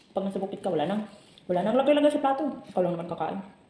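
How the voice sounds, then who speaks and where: Speech rushes by at a very fast pace over noticeable background noise. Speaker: vlogger. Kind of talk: casual vlog while eating. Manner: chatty, talking with mouth full.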